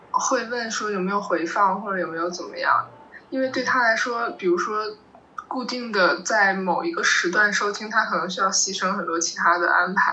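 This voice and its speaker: At a medium pitch, a woman speaks at a moderate pace with ordinary pitch variation. Noticeable background noise can be heard. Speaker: nonfiction writer and documentary director. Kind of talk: casual panel discussion.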